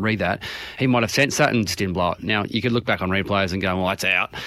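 The speech comes at a very fast pace in an Australian accent. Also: man. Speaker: retired AFL umpire. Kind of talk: relaxed radio interview.

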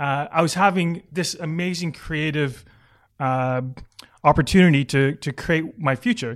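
Speaking fairly slowly with a Canadian accent, a man with a fairly high pitch uses ordinary pitch variation on a very clean recording with a silent background. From Vancouver, Canada. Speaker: advertising executive and former soccer player. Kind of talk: interview. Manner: hesitant, many fillers.

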